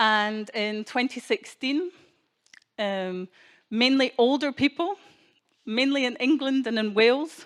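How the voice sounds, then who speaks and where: A fairly slow, Scottish-accented delivery with long, frequent pauses and ordinary pitch variation, dry and close with no echo, in a very clean recording with a silent background. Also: woman, high pitch for a woman. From Scotland. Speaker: keynote speaker. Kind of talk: speech to an audience.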